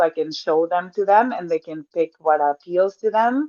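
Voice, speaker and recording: A woman speaks with a Spanish accent. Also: dry, close sound with no echo. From Mexico. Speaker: personal trainer. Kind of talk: podcast interview.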